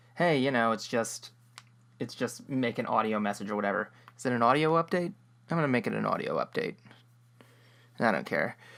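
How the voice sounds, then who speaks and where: Speaking at a fairly quick pace with lively intonation and vocal fry, a man at medium pitch leaves long, frequent pauses. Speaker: web series creator. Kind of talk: casual audio update. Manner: halting, many fillers; rambling.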